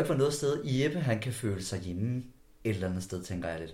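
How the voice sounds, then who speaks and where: A somewhat breathy man speaks with lively intonation amid audible room echo. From West Jutland, Denmark (Skjern/Ringkøbing area). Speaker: podcast host. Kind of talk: interview.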